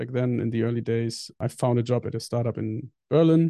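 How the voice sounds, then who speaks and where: A man with a German accent talks at a medium pitch. His tone is dark and mellow, with ordinary pitch variation. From northern Germany. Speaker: software engineer. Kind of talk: interview.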